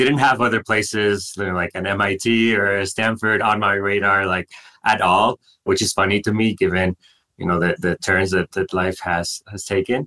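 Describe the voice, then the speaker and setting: In a Mexican accent, a man with a fairly low pitch and bright, sharp tone speaks at a moderate pace with fairly even intonation, the sound dry and close with no echo. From Mexico, Monterrey. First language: Spanish. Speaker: startup founder and CEO. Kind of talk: interview.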